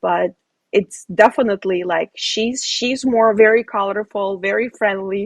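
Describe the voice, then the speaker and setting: With a normal speaking voice, a woman at medium pitch speaks at a fairly slow pace with fairly even intonation, the sound dry and close with no echo. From Ukraine, moved to US as a child. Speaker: real estate investor. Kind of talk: casual chat.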